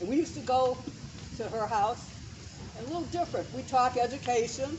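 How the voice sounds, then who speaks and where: A woman's fairly high pitch at a moderate pace, with noticeable background noise. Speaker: memorial speaker, educator. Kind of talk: eulogy speech. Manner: projecting loudly; halting.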